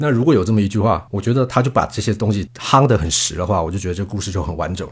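The delivery comes at a very fast pace. The voice is somewhat breathy. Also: man. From Taiwan. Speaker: film director. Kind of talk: casual film discussion.

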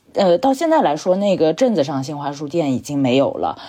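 Very wide pitch swings in a woman's dark, mellow voice. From southern Jiangsu, China. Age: 30s. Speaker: book editor, former bookstore worker, podcaster. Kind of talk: casual chat.

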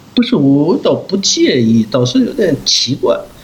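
Very slow speech from a man, noticeable background noise behind it. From Yanbian, northeast China (ethnic Korean). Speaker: film director. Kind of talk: interview conversation. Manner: halting, many fillers.

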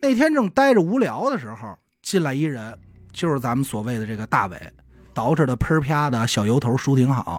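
A man with a slight Beijing accent talks at a moderate pace and a medium pitch. His intonation is lively, and the recording is very clean with a silent background. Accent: Beijing Mandarin, slight. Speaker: podcast co-host telling a true-crime case. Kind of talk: casual storytelling of a crime case. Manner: colloquial with many filler sounds.

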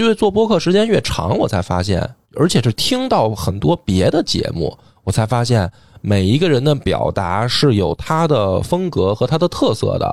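A man with a medium pitch swings very widely in pitch while keeping a moderate pace. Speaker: history podcaster and novelist. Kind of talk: casual discussion.

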